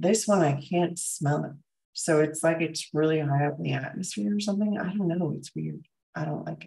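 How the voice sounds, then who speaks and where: Speaking at a fairly quick pace, a woman with a very deep, low pitch and a dark, mellow tone shows vocal fry and ordinary pitch variation. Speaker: functional medicine doctor and health livestreamer. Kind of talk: casual livestream chat with viewers. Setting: live stream reading viewer comments. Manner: casual, many filler ums.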